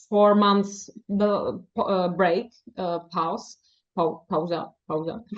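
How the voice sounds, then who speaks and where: A woman speaks in a Czech accent. Her pace is very slow. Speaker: novelist. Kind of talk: interview. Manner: halting, many fillers.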